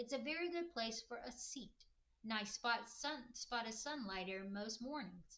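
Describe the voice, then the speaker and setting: Putting on a breathy character voice, a woman speaks at a moderate pace and a fairly high pitch with lively intonation. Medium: read story. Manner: gruff, blunt.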